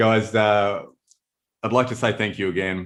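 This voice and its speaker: A man with an Australian accent, fairly even intonation and a moderate pace, on a very clean recording with a silent background. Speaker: hop company marketing head hosting webinar. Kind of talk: casual chat.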